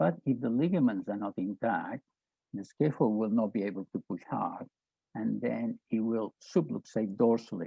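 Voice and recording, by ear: With a fairly low pitch, vocal fry and a slightly husky edge, a man talks at a moderate pace with ordinary pitch variation in a dry, close sound with no echo.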